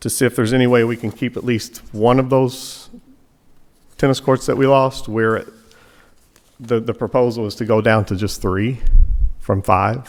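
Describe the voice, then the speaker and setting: The speaker has a Kentucky accent and fairly even intonation. There are long, frequent pauses. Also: man, medium pitch for a man, moderate pace. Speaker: tennis coach speaking at public meeting. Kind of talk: public comment at township meeting. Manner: halting, repeats words.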